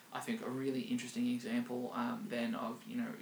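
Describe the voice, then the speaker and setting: A very fast-talking man with an Australian accent, with audible room echo and noticeable background noise. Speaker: podcast host, digital marketing strategist. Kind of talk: casual chat. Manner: halting, many fillers.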